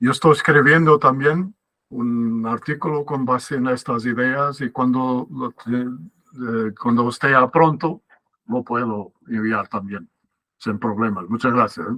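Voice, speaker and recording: A man with a non-native accent speaks very slowly at a medium pitch, his tone bright and sharp, with ordinary pitch variation. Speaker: academic speaker. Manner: halting.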